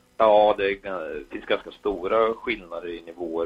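This man speaks with an Östergötland accent. His pace is fairly slow. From Östergötland, Sweden. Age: 30s. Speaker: motorsport race director. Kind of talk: casual interview.

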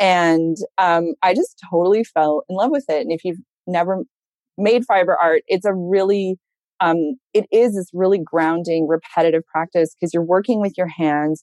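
In an ordinary speaking voice, a woman talks at a fairly low pitch and a moderate pace with ordinary pitch variation, the sound dry and close with no echo. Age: 40s. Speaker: fiber artist and entrepreneur. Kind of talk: interview.

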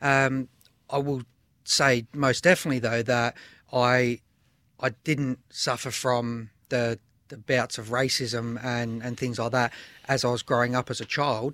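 A man's bright, sharp voice comes through flat and monotone at a fairly slow pace with long, frequent pauses, the sound dry and close with no echo in a very clean recording with a silent background. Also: medium pitch for a man. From Adelaide, South Australia. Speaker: former footballer and academy founder. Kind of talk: interview discussion.

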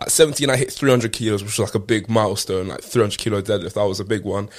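A man at a medium pitch, very fast, with ordinary pitch variation. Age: 20s. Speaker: powerlifter and content creator. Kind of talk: casual interview chat.

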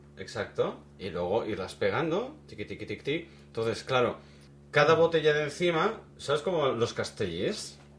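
Using a fairly high pitch with vocal fry, a man speaks at a moderate pace while his pitch swings very widely. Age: 40s. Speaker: podcast co-host. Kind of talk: casual chat.

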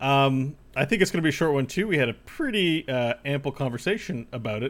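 Lively intonation marks this man's fairly high voice as he speaks at a moderate pace. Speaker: podcast host. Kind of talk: casual chat. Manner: radio voice today, animated.

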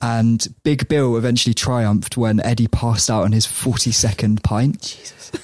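A man's medium-pitched, a plain, everyday voice, with fairly even intonation and hardly any pauses. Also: moderate pace. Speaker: podcast co-host. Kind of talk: casual chat.

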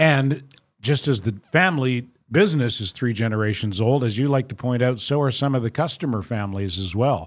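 On a very clean recording with a silent background, a man with an unremarkable speaking voice talks fairly quickly at a medium pitch with lively intonation. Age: 60s. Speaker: podcast host. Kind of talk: casual chat. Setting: studio.

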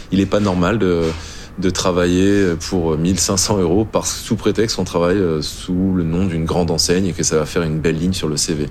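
A man speaks with a very deep, low pitch and fairly even intonation. Audible room echo and noticeable background noise surround him. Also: moderate pace. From northern France, Flanders. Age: 30s. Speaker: chef and restaurant owner. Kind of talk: testimony.

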